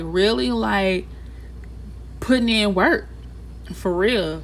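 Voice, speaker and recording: Audible room echo surrounds a woman with an American accent who speaks at a fairly slow pace. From Texas, Houston. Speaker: tarot reader. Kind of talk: tarot reading for viewers. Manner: casual, filler-heavy speech; animated.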